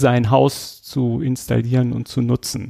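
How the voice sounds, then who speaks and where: The recording is dry and close with no echo as a man speaks fairly slowly in a dark, mellow tone at a medium pitch. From Schleswig-Holstein, northern Germany. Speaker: podcast host, municipal utility employee. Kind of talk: casual interview.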